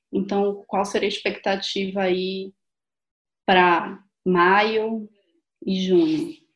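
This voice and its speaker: A woman with a Brazilian accent, medium in pitch, very slow, with long, frequent pauses and ordinary pitch variation. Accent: non-São Paulo Brazilian. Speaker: doctor, podcast co-host. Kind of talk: interview.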